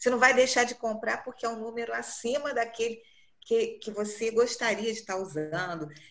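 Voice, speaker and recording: A woman with a normal speaking voice talks at a moderate pace in a fairly high pitch, with ordinary pitch variation and big swings in loudness. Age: 60s. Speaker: image consultant. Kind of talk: group class discussion.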